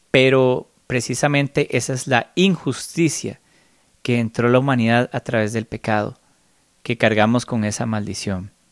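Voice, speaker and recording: A man with a Costa Rican accent speaks fairly slowly with ordinary pitch variation. The recording is very clean, with a silent background and a dry, close sound with no echo. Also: medium pitch for a man. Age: 30s. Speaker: spiritual podcaster. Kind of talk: solo spiritual reflection monologue.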